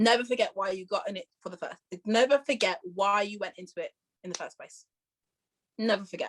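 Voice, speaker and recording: Using a strong Leicester accent, a woman talks at a fairly quick pace with an animated tone, big swings in loudness, and long, frequent pauses. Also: medium pitch for a woman, ordinary pitch variation, dry, close sound with no echo. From Leicester, England. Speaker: musical theatre performer. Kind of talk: casual interview chat. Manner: fast.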